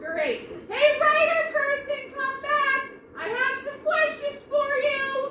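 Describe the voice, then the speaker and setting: Using a put-on character voice at an extremely high pitch, a woman speaks at a very slow pace with ordinary pitch variation. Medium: audio drama. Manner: wry, sarcastic.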